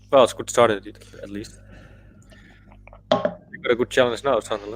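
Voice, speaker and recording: Speaking with a Dutch accent, a man uses a medium pitch and lively intonation at a moderate pace. His loudness swings widely, and there is noticeable background noise. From Netherlands. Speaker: football fan channel panelist. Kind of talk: casual chat.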